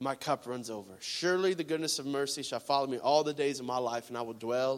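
The man's pitch sits in the medium range. He talks at a fairly quick pace in an animated, playful tone.

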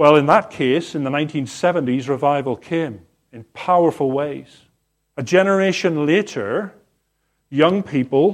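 An unremarkable speaking voice from a man, fairly high in pitch with ordinary pitch variation, at a fairly slow pace over a quiet background. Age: 50s. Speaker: pastor. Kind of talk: sermon. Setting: church.

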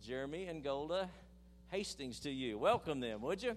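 Lively in intonation, a man talks at a moderate pace with a fairly high pitch. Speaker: pastor. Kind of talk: prayer. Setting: church. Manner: animated.

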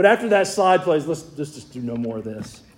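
A man with a Southern US accent, at a fairly quick pace. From US South, Georgia. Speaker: pastor. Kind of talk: sermon. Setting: church.

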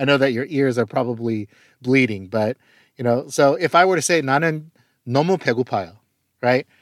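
The recording is very clean, with a silent background and a dry, close sound with no echo. A man speaks at a fairly high pitch and a moderate pace with ordinary pitch variation. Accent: American. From Korean American, US. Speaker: pastor. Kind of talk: teaching talk.

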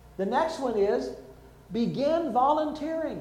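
A man speaks at an extremely high pitch with lively intonation. Noticeable background noise can be heard. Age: 60s. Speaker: pastor. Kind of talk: sermon.

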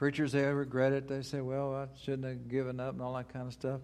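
Speaking at a fairly quick pace, a man uses an unremarkable speaking voice. His pitch is medium. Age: 60s. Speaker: guest preacher. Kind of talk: sermon. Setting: church with congregation.

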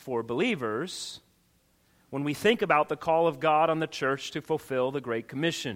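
In a very clean recording with a silent background, a man with an unremarkable speaking voice talks at a fairly high pitch with lively intonation. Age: 40s. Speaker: pastor. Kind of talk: sermon. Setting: church.

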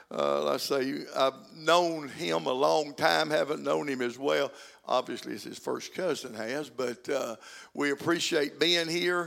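A man talks with an Arkansas accent. His pace is fairly slow. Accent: Southern US (Arkansas). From Arkansas, US South. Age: 70s. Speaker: guest preacher. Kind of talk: sermon. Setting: church.

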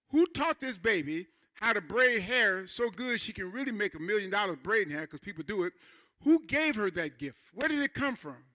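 Raising and projecting his high voice, a man speaks at a fairly quick pace with very wide pitch swings and a bright, sharp tone, in a dry, close sound with no echo. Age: 60s. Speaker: pastor. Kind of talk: sermon. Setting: church. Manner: halting.

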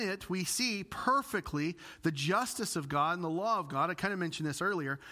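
A man with an American accent uses a raised, projected voice, high in pitch, with a bright, sharp tone and lively intonation. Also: very clean recording, silent background. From US Midwest, Illinois. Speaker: pastor. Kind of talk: sermon. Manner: passionate.

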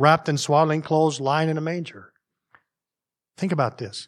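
Speaking at a fairly quick pace, a man uses a Northern US accent and a fairly high pitch. The recording is very clean, with a silent background. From US North. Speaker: pastor. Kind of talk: sermon. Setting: church. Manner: informal, animated.

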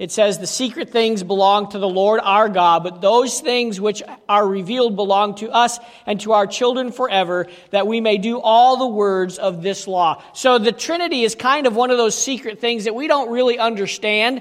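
A man speaks with a high pitch and ordinary pitch variation. His pace is moderate, and there is noticeable background noise. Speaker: pastor. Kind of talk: sermon.

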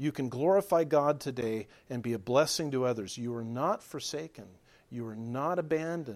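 A plain, everyday voice from a man at a medium pitch, with ordinary pitch variation and a moderate pace, on a very clean recording with a silent background. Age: 50s. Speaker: pastor. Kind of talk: sermon.

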